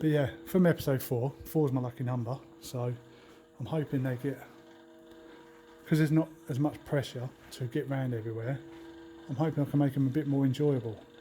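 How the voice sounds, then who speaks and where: A man whispers and mumbles quietly in a southern English accent, going at a fairly quick pace between long, frequent pauses. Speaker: travel vlogger. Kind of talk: casual vlog talk to camera. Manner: quiet, whispering; mumbling.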